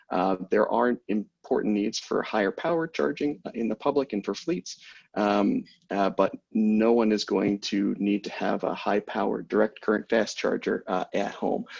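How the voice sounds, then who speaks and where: A man's voice comes through with a dry, close sound with no echo against a quiet background. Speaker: policy director at EV charging company, panelist. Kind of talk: webinar presentation. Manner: fast.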